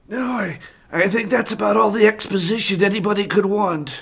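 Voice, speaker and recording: A raspy, put-on character voice, fairly high in pitch and at a fairly quick pace. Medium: machinima. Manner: hesitant, stammering.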